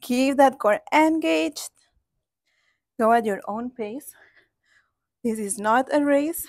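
Against a quiet background, a woman talks very slowly in a high voice with lively intonation. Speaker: fitness instructor. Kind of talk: workout instruction. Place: garden.

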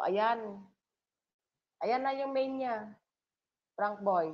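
The pitch of a woman's voice varies in an ordinary way. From Philippines, island coastal town. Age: 50s. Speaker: livestream vlogger. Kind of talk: casual livestream chat. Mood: emotional, reflective. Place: home room. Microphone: video call.

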